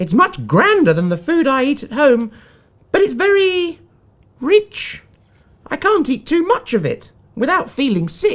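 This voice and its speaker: A man puts on a character voice pitched extremely high, swinging very widely in pitch at a moderate pace with long, frequent pauses. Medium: read story. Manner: gentle, kindly.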